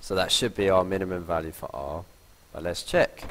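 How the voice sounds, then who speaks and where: A man's voice against noticeable background noise. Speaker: maths teacher. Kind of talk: tutorial.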